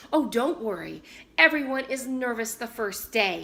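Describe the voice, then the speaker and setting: A woman uses a put-on character voice at a fairly high pitch. She speaks at a moderate pace. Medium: read story. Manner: effusive.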